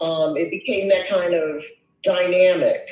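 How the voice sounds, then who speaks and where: Very slow speech with ordinary pitch variation over background music. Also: man. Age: 60s. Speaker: viewer sharing a personal story. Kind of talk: testimony. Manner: halting, many fillers.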